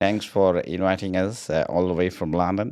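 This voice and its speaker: A man with an Indian accent speaks in a very deep, low voice against a quiet background. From Texas, US. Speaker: comedian. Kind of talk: comedic podcast chat. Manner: hesitant with many filler uhs.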